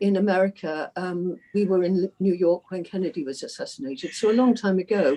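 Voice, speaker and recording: Speaking in an English accent, a woman has a dark, mellow tone and a moderate pace. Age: 80s+. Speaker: discussion group member. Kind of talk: group discussion.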